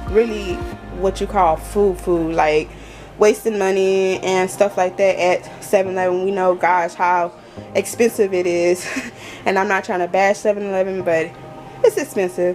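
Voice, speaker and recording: Against clear background music, a woman talks at a fairly slow pace in a flat, monotone way. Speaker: home vlogger. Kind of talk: casual vlog chat. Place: kitchen. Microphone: phone near.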